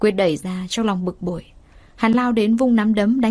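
The passage is read aloud in a natural voice.

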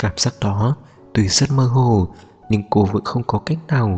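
The reading here sounds natural. Pitch shifts are of an ordinary degree.

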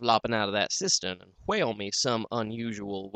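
A natural reading voice comes through here. Its intonation holds fairly even.

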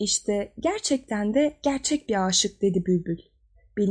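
The speaker reads naturally with lively intonation.

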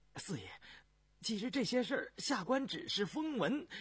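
In a put-on character voice with a husky, rough edge, the speaker moves at a moderate pace through big pitch swings. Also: man, extremely high pitch for a man, fairly bright tone.

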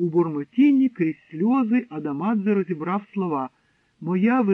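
Lively intonation marks a natural reading voice. The background is quiet.

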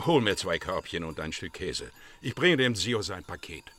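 A man uses a put-on character voice with a low pitch and fairly bright tone. He moves at a moderate pace with big pitch swings.

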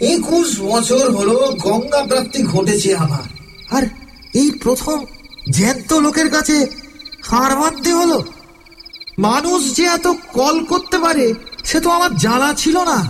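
A man's put-on character voice at an extremely high pitch, moderate pace, with clear background noise

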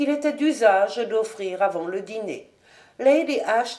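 This is a natural reading voice. The clip offers a natural reading voice throughout.

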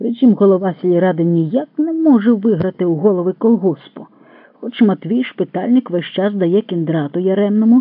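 The pitch shifts in an ordinary way. It is an unforced reading voice.

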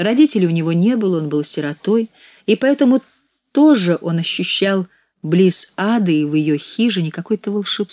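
Lively intonation in a natural reading voice, the background quiet

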